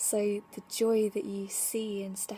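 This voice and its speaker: A woman speaks at medium pitch in a dark, mellow tone, somewhat breathy. Her intonation stays monotone and flat. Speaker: spiritual vlogger. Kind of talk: casual vlog monologue. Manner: rambling with many fillers.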